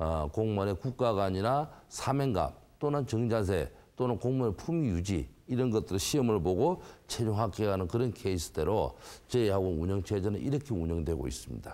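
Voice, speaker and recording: On a very clean recording with a silent background, a man with a dark, mellow tone and fairly low pitch speaks at a moderate pace, his pitch swinging very widely while his loudness stays very even. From South Korea, Gyeongsang (Busan, Geoje). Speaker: academy director. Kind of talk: interview.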